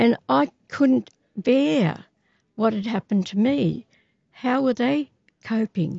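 Very slowly and with long, frequent pauses, a woman with an Australian accent speaks in a fairly high, somewhat breathy voice with very wide pitch swings. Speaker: activist. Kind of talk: interview.

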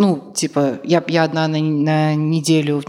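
A woman speaks in a very deep, low voice with a flat, monotone delivery. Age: 30s. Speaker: podcast co-host. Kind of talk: live podcast talk. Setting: stage with audience.

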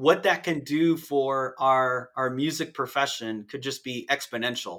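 A man with an American accent speaks in a bright, sharp tone. The recording is very clean, with a silent background. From US Midwest, northern Indiana. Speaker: university band director. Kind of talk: casual interview.

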